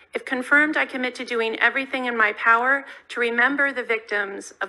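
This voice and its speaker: A woman with an American accent, fairly high-pitched, bright and sharp in tone, at a fairly quick pace. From California, US. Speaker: diplomat. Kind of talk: prepared testimony. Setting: Senate committee hearing. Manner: formal. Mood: measured, solemn. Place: hall. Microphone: podium.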